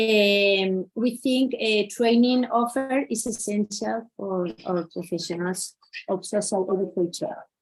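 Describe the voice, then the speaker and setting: A woman with a Spanish accent at a fairly slow pace. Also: medium pitch for a woman, ordinary pitch variation. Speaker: social educator. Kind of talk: conference talk. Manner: halting, many fillers.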